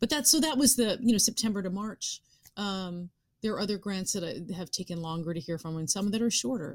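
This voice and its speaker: A woman speaks at a fairly quick pace with a medium pitch. Her voice is somewhat breathy, with very wide pitch swings. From suburbs of New York City. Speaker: actress and writer. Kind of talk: interview conversation.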